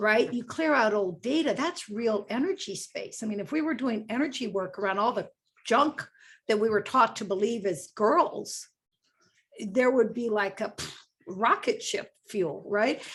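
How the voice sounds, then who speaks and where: A woman speaks at a fairly slow pace in a fairly high, somewhat breathy voice. Her intonation is lively. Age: 60s. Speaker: book club discussion guest. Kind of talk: casual book club discussion.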